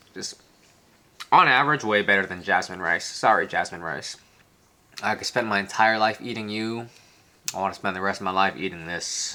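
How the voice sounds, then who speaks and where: Speaking at a moderate pace with an American accent, a man with a fairly low voice and ordinary pitch variation leaves long, frequent pauses amid noticeable background noise. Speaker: travel vlogger. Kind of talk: casual food tasting vlog.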